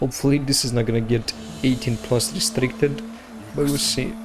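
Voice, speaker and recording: Over noticeable background noise, a man with a Romanian accent talks at a fairly quick pace in a medium pitch, with ordinary pitch variation. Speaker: gaming YouTuber. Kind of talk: let's play commentary. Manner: casual, halting with fillers; stuttering.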